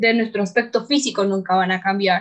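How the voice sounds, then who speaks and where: A voice at a moderate pace with fairly even intonation, in a Tabasco accent. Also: woman. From Mexico, Tabasco. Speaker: business student. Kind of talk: panel discussion. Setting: remote recording from home.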